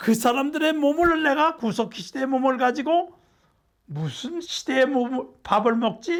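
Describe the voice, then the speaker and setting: A man's voice at an extremely high pitch, lively in intonation, at a moderate pace, on a very clean recording with a silent background. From South Korea. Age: 80s+. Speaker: nutrition professor. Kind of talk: lecture.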